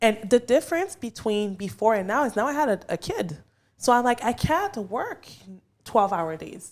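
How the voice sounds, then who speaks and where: In a French Canadian accent, a woman speaks at a moderate pace with a fairly high pitch, an animated tone and very wide pitch swings. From Quebec, Canada (Montreal), Haitian parents. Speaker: realtor. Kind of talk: casual podcast interview.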